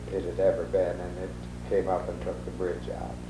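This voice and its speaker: Audible room echo carries a man's voice with an American accent and very wide pitch swings. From US Midwest, northeast Iowa. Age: 70s. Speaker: oral history interviewee. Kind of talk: oral history interview. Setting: at his home.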